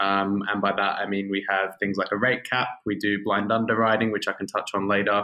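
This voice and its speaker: With an Australian accent, a man speaks at a fairly low pitch and a fairly quick pace with fairly even intonation. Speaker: fintech growth executive. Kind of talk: podcast interview.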